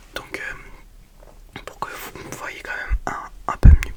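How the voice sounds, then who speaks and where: A woman whispering against noticeable background noise. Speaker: ASMR youtuber. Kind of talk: ASMR whispered chat.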